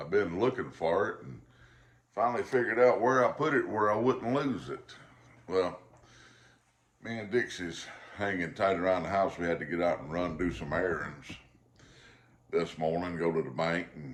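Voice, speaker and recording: The speaker has a Southern US accent and vocal fry, with lively intonation, big swings in loudness, long and frequent pauses, and a moderate pace. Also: man. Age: 50s. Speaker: pipe smoking vlogger. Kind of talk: casual chat. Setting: at home. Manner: halting.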